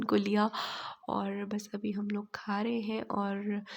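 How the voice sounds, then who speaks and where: Here a woman is speaking. Her pitch is medium. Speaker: vlogger. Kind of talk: vlog narration.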